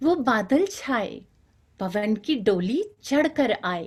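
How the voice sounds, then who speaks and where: This is a woman speaking. Her pitch makes very wide swings. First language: Bengali (speaking Hindi). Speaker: poet. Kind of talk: poetry reading. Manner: rhythmic.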